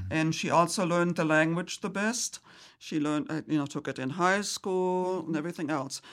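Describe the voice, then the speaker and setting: A woman speaks with a German accent. Her pitch is fairly low, with ordinary pitch variation. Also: moderate pace, very clean recording, silent background. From Germany. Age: 70s. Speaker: churchgoer. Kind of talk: casual chat. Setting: studio. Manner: halting, many fillers.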